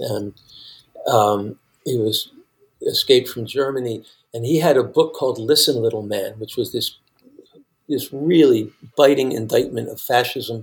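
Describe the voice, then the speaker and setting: The speech is somewhat breathy at a moderate pace, with long, frequent pauses. Loudness swings widely from moment to moment. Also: man, medium pitch for a man, ordinary pitch variation. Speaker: songwriter and musician. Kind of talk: casual chat. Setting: remote call.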